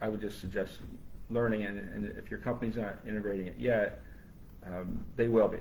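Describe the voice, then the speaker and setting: Speaking at a fairly quick pace with audible room echo, a man uses a fairly low pitch, vocal fry and fairly even intonation. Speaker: brain injury survivor and AI advocate. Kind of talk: live panel discussion. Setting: live stream. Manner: halting, with frequent repetitions.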